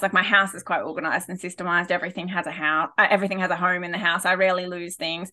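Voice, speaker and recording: A woman with an Australian accent speaks at a medium pitch. Her tone is bright and sharp, and her pace is very fast. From rural New South Wales, Australia. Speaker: former teacher and wellbeing consultant. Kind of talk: casual interview. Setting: remote call.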